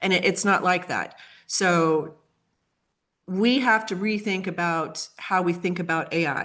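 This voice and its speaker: At a fairly slow pace over a quiet background, a woman talks in an ordinary speaking voice with a fairly low pitch and fairly even intonation. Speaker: AI strategist and marketing consultant. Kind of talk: webinar presentation.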